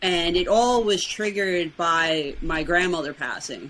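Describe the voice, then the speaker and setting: This woman speaks with an American accent in a bright, sharp tone, her pitch fairly low with ordinary variation. Her pace is very slow. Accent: New York accent, noticed by others. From Brooklyn, New York. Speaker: weight loss challenge winner. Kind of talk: podcast interview.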